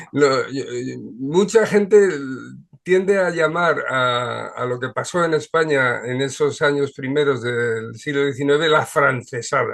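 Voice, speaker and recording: Speaking at a fairly slow pace, a man with a normal speaking voice uses a fairly high pitch and ordinary pitch variation. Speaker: show host. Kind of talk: video call discussion.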